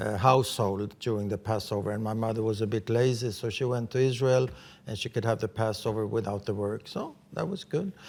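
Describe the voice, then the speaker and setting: Fairly quick speech with a Swedish accent and fairly even intonation, on a very clean recording with a silent background. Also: man, medium pitch for a man. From Sweden. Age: 70s. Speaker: writer and journalist. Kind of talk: interview.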